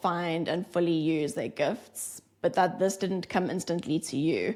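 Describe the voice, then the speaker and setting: A woman with an American accent speaks at a fairly slow pace and a medium pitch. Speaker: podcast host. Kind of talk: interview.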